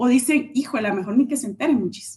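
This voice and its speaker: A woman with a high voice talks at a fairly quick pace with lively intonation. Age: 40s. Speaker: leadership trainer and speaker. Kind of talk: interview on a live stream.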